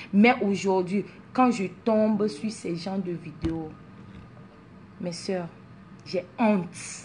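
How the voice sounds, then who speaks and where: A woman speaks at a very slow pace with long, frequent pauses. Her somewhat breathy voice sits at medium pitch with ordinary pitch variation. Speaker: social media personality. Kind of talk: motivational talk to followers. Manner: animated, mixes French and English.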